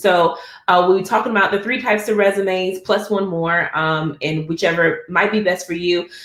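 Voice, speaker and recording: In an unremarkable speaking voice, a woman speaks at a medium pitch with ordinary pitch variation. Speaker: architect and webinar presenter. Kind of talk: webinar presentation. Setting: online webinar.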